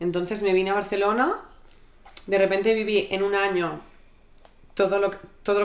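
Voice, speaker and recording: A woman speaks with monotone, flat intonation. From Catalonia, Spain. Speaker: creative director. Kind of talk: casual chat.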